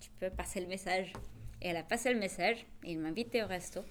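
A woman talks at a fairly quick pace with a Spanish accent. Her pitch is medium, with ordinary variation. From Bolivia. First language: Spanish (speaking French). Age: 30s. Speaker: interviewee in binational couple. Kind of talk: casual testimony.

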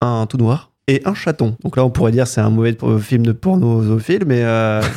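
Very clean and set against a silent background, this recording features a man with a dark, mellow tone at a medium pitch. He speaks at a fairly slow pace with ordinary pitch variation. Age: 20s. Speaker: podcast panelist. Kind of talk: casual chat.

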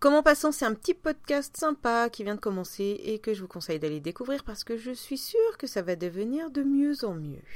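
Her pitch is high for a woman. The woman's voice swings very widely in pitch. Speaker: podcast host. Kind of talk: casual chat. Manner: hesitant, many fillers.

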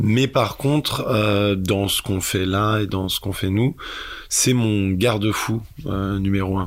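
This man talks at a very slow pace in a fairly low pitch. His intonation stays fairly even. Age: 20s. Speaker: filmmaker. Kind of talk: interview. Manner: halting.

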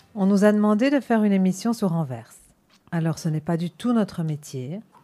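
In an Antwerp accent, a woman with a dark, mellow tone speaks at a moderate pace, her medium pitch showing ordinary variation. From Antwerp, Belgium. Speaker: radio host. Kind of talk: scripted introduction; radio interview.

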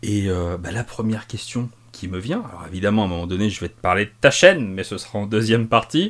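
This man has a plain, everyday voice pitched fairly low. He speaks at a moderate pace. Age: 30s. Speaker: podcast host. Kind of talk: casual chat.

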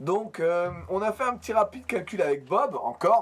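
A man swings his pitch very widely while keeping a moderate pace. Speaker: podcast host. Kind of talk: casual chat.

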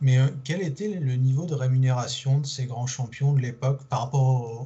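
A man's somewhat breathy voice at medium pitch with ordinary pitch variation. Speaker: podcast host. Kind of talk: podcast interview. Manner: hesitant, repeats words.

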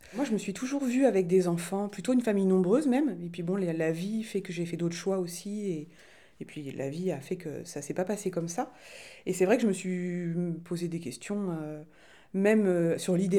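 Her tone is dark and mellow. This woman speaks at a medium pitch. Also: ordinary pitch variation, moderate pace. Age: 40s. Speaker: interviewee. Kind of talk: testimony.

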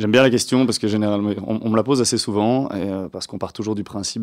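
A man speaks at a very fast pace in a fairly low pitch, his intonation monotone and flat. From Belgium, Waterloo. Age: 30s. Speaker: hospitality business owner. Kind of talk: radio interview. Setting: studio.

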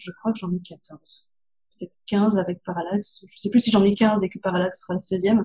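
A woman's medium-pitched, somewhat breathy voice with a dark, mellow tone, fairly even intonation and a moderate pace. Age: young. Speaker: novelist. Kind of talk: interview.

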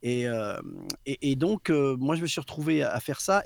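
A man talks at a moderate pace in a normal speaking voice, fairly high in pitch. His intonation is lively, and the sound is dry and close with no echo. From southwest France, Basque coast. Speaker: voice actor. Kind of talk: casual chat. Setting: live stream.

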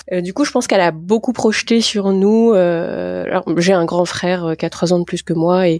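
The sound is dry and close with no echo as a woman with a fairly low pitch speaks at a moderate pace with ordinary pitch variation. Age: 40s. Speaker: geriatrician, care home doctor. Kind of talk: interview. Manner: hesitant, many fillers.

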